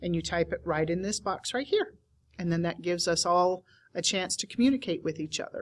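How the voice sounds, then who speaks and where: A woman speaks at a fairly quick pace in an unremarkable speaking voice. Her pitch is fairly low, with ordinary variation. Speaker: teacher trainer. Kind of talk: tutorial.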